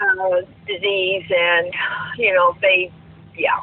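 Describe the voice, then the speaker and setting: A woman talks with an American accent. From South Florida. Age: 60s. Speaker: retired teacher and full-time RVer. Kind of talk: casual chat.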